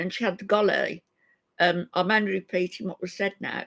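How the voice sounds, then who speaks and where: With an English accent, a woman talks at a medium pitch and fairly even intonation, the sound dry and close with no echo. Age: 70s. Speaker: YouTube live streamer. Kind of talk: casual live-stream chat.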